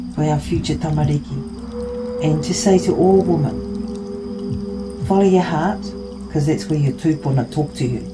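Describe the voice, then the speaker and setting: Music plays in the background as a woman speaks at a fairly slow pace, her voice carrying audible room echo. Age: 60s. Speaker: master carver. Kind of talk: interview. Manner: halting.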